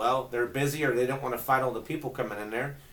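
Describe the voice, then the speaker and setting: A man talks at a medium pitch with ordinary pitch variation. Noticeable noise is audible behind him. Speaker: local social media marketer. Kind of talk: casual tutorial. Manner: fast; casual, conversational.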